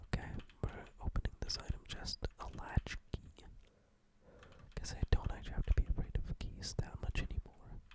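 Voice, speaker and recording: The speaker whispers at a moderate pace, pausing long and often. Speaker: ASMR gaming commentator. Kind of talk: ASMR gameplay commentary. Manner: whispered, soft-spoken.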